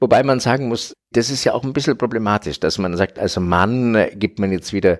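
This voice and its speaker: A man's plain, everyday voice with lively intonation at a moderate pace, on a very clean recording with a silent background. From Franconia, Bavaria, Germany. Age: 50s. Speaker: artist. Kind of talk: interview.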